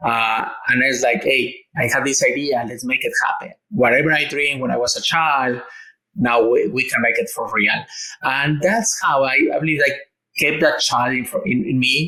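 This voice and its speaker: A man speaks at a moderate pace with a Mexican accent, and room echo is audible. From Mexico. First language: Spanish. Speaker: engineer and entrepreneur. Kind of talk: interview. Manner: halting, with fillers and repetitions.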